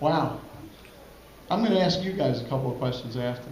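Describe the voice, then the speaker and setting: A man with an American accent talks at a moderate pace with ordinary pitch variation, with audible room echo and noticeable background noise. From Brooklyn, New York. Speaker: pinball company owner. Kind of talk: conference presentation. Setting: stage with audience.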